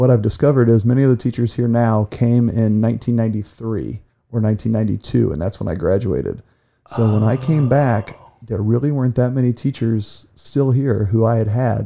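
A man with an American accent at a medium pitch and a dark, mellow tone, moderate in pace, with ordinary pitch variation and a quiet background. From Ohio, US Midwest (Ashland). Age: 40s. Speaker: school counselor. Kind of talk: casual interview. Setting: studio.

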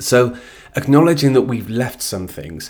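A man speaks with ordinary pitch variation, captured on a very clean recording with a silent background. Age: 30s. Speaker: podcast host. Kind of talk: solo monologue podcast. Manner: hesitant, many fillers.

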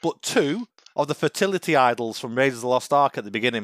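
This man's fairly high voice makes very wide pitch swings. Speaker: podcast host. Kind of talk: casual chat. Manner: casual, banter.

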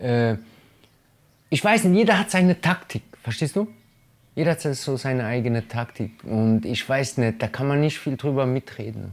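Here is a normal speaking voice. The intonation is lively. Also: man. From Germany, Italian family. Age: 30s. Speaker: hip-hop artist. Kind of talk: casual interview.

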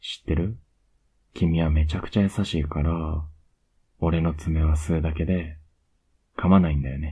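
Very deep and low, a man's voice comes out somewhat breathy and flat in a monotone. He leaves long, frequent pauses. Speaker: ASMR voice actor playing a boyfriend. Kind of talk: asmr boyfriend roleplay, intimate bedtime scene. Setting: close-mic bedtime audio for headphones. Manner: soft, whispery and tender; slow, pet-name sweet talk, lulling her to sleep; affectionate and teasing, with little laughs and cuddling.

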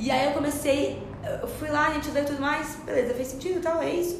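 Very fast female speech amid audible room echo and noticeable background noise. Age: 20s. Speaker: psychology student, therapeutic companion. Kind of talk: casual chat.

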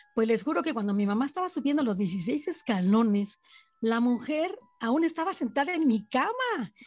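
Music plays in the background as a woman speaks at a moderate pace. Her high pitch swings very widely while her loudness stays very even. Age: 60s. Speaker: storyteller aunt of host. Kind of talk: personal testimony.

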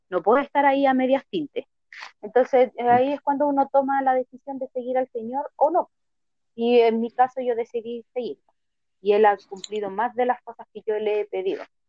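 A woman's high voice moves at a moderate pace, its pitch varying in an ordinary way. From Chile, Santiago. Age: 30s. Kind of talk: casual interview.

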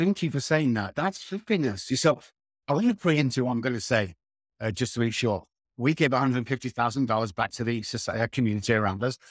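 Over a silent background in a very clean recording, a man with a British accent talks very fast at a medium pitch with lively intonation and a dry, close sound with no echo. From UK. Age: 60s. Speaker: addiction recovery expert. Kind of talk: interview conversation.

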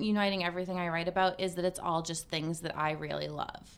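Someone with an American accent talks at a moderate pace in an unremarkable speaking voice. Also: woman. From Massachusetts (Cape Cod). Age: 30s. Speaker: lifestyle blogger and podcaster. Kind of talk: casual interview chat.

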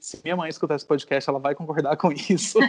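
Here a man has a fairly high pitch and fairly even intonation. It is a normal speaking voice. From Brazil, Goiânia and Natal. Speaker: poet and visual artist. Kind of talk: interview conversation.

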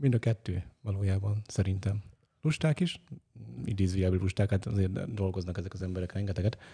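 Somewhat breathy and dark, mellow in tone, a man speaks at a moderate pace and fairly low pitch with ordinary pitch variation. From Great Hungarian Plain. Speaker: film editor. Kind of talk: casual chat.

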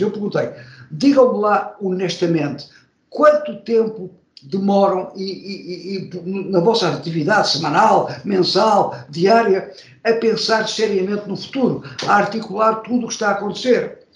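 In a room with audible echo, a man speaks at a fairly slow pace with a high pitch and ordinary pitch variation. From Portugal. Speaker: marketing professor. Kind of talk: interview.

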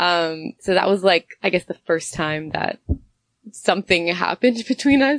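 With a normal speaking voice, a woman speaks at a moderate pace and fairly low pitch, her intonation lively, in a dry, close sound with no echo. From Canada (Toronto area) and Honduras. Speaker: entrepreneur, tea company co-owner. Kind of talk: interview conversation.

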